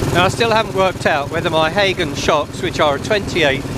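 Over loud background noise, a man talks in a dry sound with no echo. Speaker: motorbike vlogger. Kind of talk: casual vlog chat. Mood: wry, mildly annoyed at drivers. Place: motorbike. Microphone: helmet.

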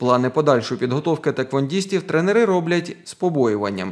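A normal speaking voice with lively intonation comes through on a very clean recording with a silent background. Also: man. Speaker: TV news reporter. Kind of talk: news report narration.

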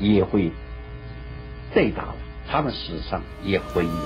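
Fairly slow delivery over music in the background. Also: man. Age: 80s+. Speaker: retired army general, former fortress commander. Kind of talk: TV news interview answer. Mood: defensive, insistent. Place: home room.

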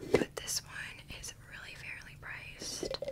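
The woman speaks in a whisper. Her pace is very slow. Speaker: ASMR content creator. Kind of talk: ASMR whispered trigger video, casual talk to camera. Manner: soft-spoken, whispering. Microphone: studio mic.

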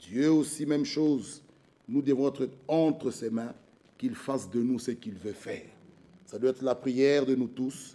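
A man's dark, mellow voice at a fairly slow pace with fairly even intonation. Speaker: preacher. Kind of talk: sermon. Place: church. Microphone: podium.

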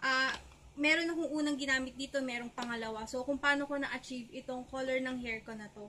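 A woman's raised, projected, high voice at a very fast pace, fairly even in intonation, with light background noise. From Philippines. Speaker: beauty vlogger. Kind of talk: haul video. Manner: casual, conversational. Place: home room. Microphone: webcam.

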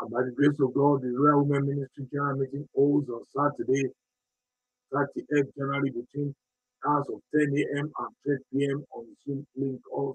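Somewhat breathy and warm in tone, a man with a fairly high pitch speaks with monotone, flat intonation and big swings in loudness. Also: moderate pace, dry, close sound with no echo. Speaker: church announcer. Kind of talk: closing prayer and announcements. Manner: warm, exhorting.

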